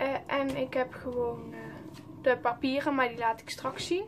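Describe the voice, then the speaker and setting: Over noticeable background noise, a woman with a high voice speaks at a fairly slow pace. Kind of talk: casual show-and-tell vlog.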